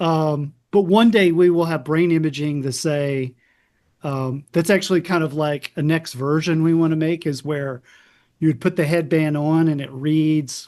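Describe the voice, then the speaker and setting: A man with an ordinary speaking voice and an American accent talks at a moderate pace with a fairly high pitch. His intonation stays fairly even over a quiet background. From US South, South Carolina. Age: 50s. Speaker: psychiatrist. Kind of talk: interview.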